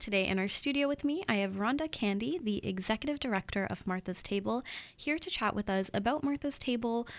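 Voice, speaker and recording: Here is an ordinary speaking voice from a woman. She talks at a fairly quick pace with lively intonation. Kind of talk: newsreading. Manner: brisk, crisp and businesslike, reading road closure dates in an even, steady delivery.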